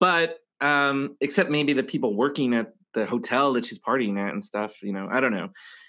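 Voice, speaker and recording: With a bright, sharp tone and lively intonation, a man speaks at a fairly high pitch and moderate pace against a quiet background. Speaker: podcast host. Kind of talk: casual chat.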